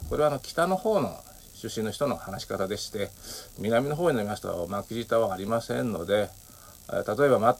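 A man speaks at a moderate pace in an ordinary speaking voice, his medium pitch carried by lively intonation and big swings in loudness. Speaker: podcaster. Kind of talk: solo monologue. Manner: many filler words.

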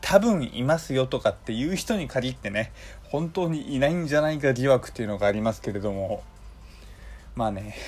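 A man talks at a fairly quick pace in a medium pitch, somewhat breathy, with lively intonation. The recording is very clean, with a silent background. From Hokkaido, Japan. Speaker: podcast host. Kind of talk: casual solo monologue.

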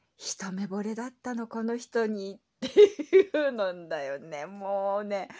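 With a dark, mellow tone, a woman's speech rises and falls in very wide pitch swings. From Japan. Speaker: podcaster. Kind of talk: solo casual talk.

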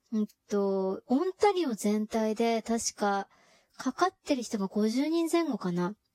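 A woman speaks at a fairly high pitch with a dark, mellow tone and very wide pitch swings. Her pace is fairly slow, and the sound is dry and close with no echo. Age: middle-aged. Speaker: podcaster. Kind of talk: casual monologue. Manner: chatty, filler-heavy.

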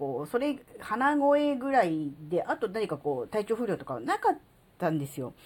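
Against noticeable background noise, a woman talks fairly slowly in a fairly high voice whose pitch swings very widely. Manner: rambling, filler-heavy, conversational.

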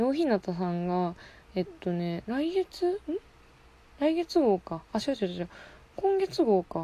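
A woman talks at a fairly slow pace, with long, frequent pauses. Her fairly high voice has a dark, mellow tone and very wide pitch swings. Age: 20s. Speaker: podcast host. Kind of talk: casual monologue. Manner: casual, frequent laughter.

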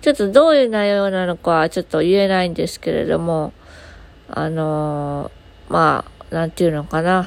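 With a plain, everyday voice, a woman speaks at a moderate pace, her fairly low pitch showing ordinary pitch variation. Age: 20s. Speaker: podcaster; aspiring support worker. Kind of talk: casual solo talk.

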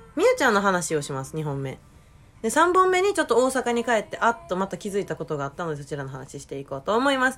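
Very fast speech from a woman with a Kansai accent, medium pitch, very wide pitch swings and big swings in loudness, with music in the background. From Japan, Osaka. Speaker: podcast host. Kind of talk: casual chat.

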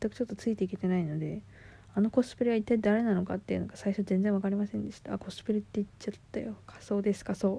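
A woman's medium-pitched, dark, mellow voice, somewhat breathy, at a very fast pace with fairly even intonation and big swings in loudness. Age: 20s. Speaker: podcaster. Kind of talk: casual monologue. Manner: casual, laughing.

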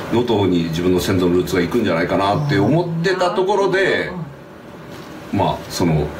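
A man talks at a fairly quick pace with very even loudness, audible room echo and noticeable background noise. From Sado Island, Niigata, Japan. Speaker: singer-songwriter. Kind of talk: casual chat. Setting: public recording.

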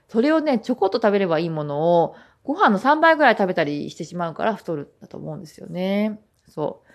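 Speaking at a fairly quick pace, a woman with a medium pitch makes very wide pitch swings and big swings in loudness. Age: 20s. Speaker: podcast host. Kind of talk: casual monologue.

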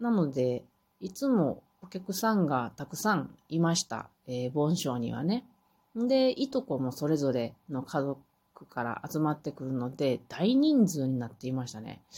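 Her voice is very deep and low, with a dark, mellow, relaxed tone. The woman talks fairly slowly with very wide pitch swings. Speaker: podcaster. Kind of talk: solo monologue.

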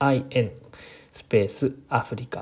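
Very slow and somewhat breathy, a man talks at a medium pitch with a dark, mellow tone. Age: 20s. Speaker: podcaster and landscape designer. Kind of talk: casual solo talk. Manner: halting, many fillers.

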